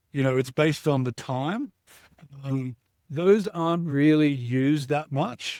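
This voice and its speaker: A man talks at a moderate pace with an Australian accent. His intonation is fairly even, and the recording is very clean with a silent background. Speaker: startup CEO. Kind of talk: interview answer.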